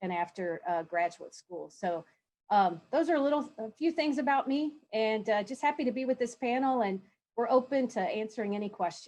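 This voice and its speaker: With a Southern US accent, a woman talks at a moderate pace with lively intonation. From Kentucky, Louisville. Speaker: university chancellor, panelist. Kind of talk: conference panel introduction.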